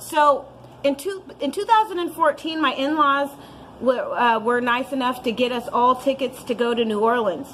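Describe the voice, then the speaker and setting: A Californian accent over noticeable background noise. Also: woman, high pitch for a woman, moderate pace. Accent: Californian American English. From Santa Cruz, California. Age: 30s. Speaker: recovering alcoholic. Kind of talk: personal recovery story talk.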